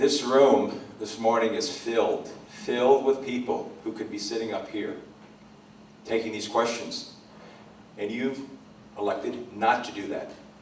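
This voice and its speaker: A man at medium pitch, ordinary pitch variation and a fairly slow pace, with long, frequent pauses, big swings in loudness, audible room echo and noticeable background noise. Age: 60s. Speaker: city council candidate. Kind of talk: candidate forum answer.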